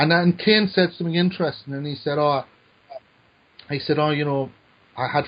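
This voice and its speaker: This man speaks with a Newcastle accent. His pace is fairly quick. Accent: Newcastle (Geordie). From northern England, Newcastle. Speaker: screenwriter. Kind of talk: casual chat. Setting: podcast. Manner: halting, repeats words.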